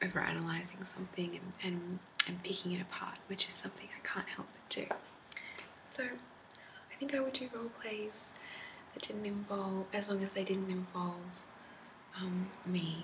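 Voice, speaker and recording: A soft-spoken woman with a calm tone talks at a moderate pace and medium pitch with ordinary pitch variation. She takes long, frequent pauses over noticeable background noise. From Australia. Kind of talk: casual talk to camera. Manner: soft-spoken, calm.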